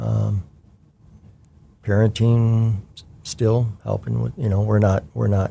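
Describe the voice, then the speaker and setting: With an American accent, a man talks at a very slow pace, leaving long, frequent pauses as his loudness swings widely. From Washington State, US Pacific Northwest. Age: 60s. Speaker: retired church member, children's ministry volunteer. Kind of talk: interview. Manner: halting, many fillers.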